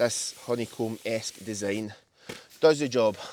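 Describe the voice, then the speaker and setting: In a Scottish accent, a man speaks at medium pitch with ordinary pitch variation, in a dry, close sound with no echo. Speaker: camper. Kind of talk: casual gear walkthrough. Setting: inside a tent outdoors. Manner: loud.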